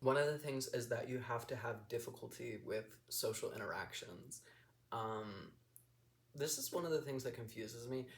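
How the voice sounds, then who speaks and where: A somewhat breathy man at medium pitch, moderate pace and fairly even intonation. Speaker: vlogger. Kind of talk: casual personal vlog monologue. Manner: monotone; mumbling, hesitant with many ums.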